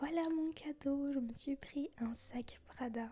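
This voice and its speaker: A woman speaks softly in a relaxed, calm tone. Her voice is dark and mellow, with ordinary pitch variation. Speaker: ASMR vlogger / content creator. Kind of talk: soft-spoken ASMR travel vlog. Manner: soft-spoken, relaxed, calm.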